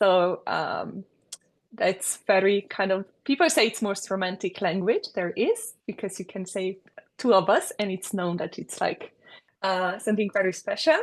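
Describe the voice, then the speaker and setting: A woman with a Slovenian accent speaks at a fairly slow pace and medium pitch. Her pitch variation is ordinary, and the background is quiet. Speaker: architect. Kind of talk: interview. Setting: podcast recording. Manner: hesitant, with many fillers.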